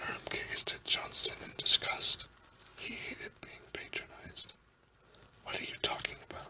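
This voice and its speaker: A man whispers at a moderate pace, with long, frequent pauses and big swings in loudness. Noticeable background noise runs underneath. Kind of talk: fiction reading aloud, science fiction chapter. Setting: home, at a microphone in his house. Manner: whispered, soft-spoken.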